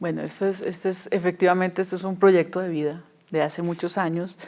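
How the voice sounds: A woman's fairly low-pitched, slightly mellow voice at a fairly quick pace, with little pitch movement.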